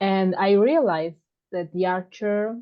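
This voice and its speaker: A woman speaks with an Italian accent. Her intonation stays fairly even. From Italy, Sardinia. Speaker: podcast listener. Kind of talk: casual chat. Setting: video call. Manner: halting.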